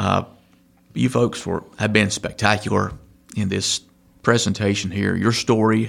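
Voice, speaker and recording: A man talks at a fairly slow pace with long, frequent pauses. His fairly low pitch carries vocal fry and fairly even intonation. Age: 40s. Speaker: podcast host and insurance agent. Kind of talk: casual interview.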